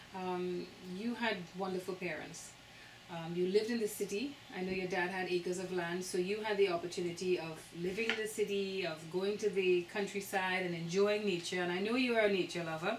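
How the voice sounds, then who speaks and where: A woman with a Trinidadian accent speaks at a fairly quick pace and medium pitch, her intonation fairly even, with audible room echo and noticeable background noise. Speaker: interviewer. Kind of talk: interview.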